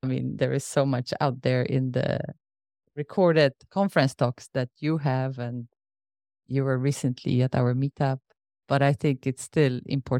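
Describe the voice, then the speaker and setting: A woman's very deep, low voice, dark and mellow in tone, with fairly even intonation and a dry, close sound with no echo. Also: moderate pace. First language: not English. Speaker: podcast host. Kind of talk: casual interview chat.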